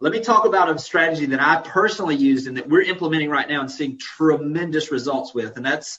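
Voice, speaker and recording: In a Southern US accent, a man with a fairly high pitch speaks very fast with hardly any pauses and ordinary pitch variation. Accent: Southern US accent, noticeable. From Florida Panhandle. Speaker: real estate executive. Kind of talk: webinar presentation. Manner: casual, folksy.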